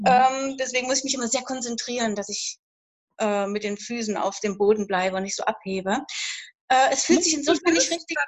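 With lively intonation and a high pitch, a woman speaks at a fairly quick pace. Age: 50s. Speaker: horse owner seeking coaching. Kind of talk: live coaching session.

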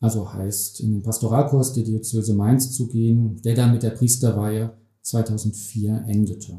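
A man's somewhat breathy, dark, mellow voice at a medium pitch and moderate pace, monotone and flat in intonation. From Germany, Hesse (Bergstraße, Heppenheim). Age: 50s. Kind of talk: interview.

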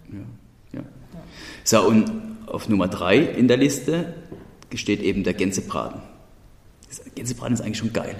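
With a Hessian accent, a man talks at a moderate pace with lively intonation and long, frequent pauses. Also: medium pitch for a man. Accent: Odenwald dialect. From Odenwald, Germany. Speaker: podcast host. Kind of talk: casual chat.

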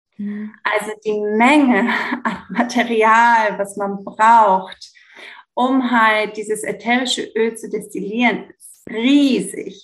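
The speech is very slow and somewhat breathy, with fairly even intonation but big swings in loudness. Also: woman, fairly high pitch for a woman. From Greece. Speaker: yoga teacher and essential oil consultant. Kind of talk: interview. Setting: remote recording at home indoors.

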